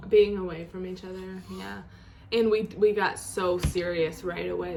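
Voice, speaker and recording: Against noticeable background noise, a woman with a Rochester accent speaks at a medium pitch and a moderate pace. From Rochester, New York. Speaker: YouTuber, singer. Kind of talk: casual chat.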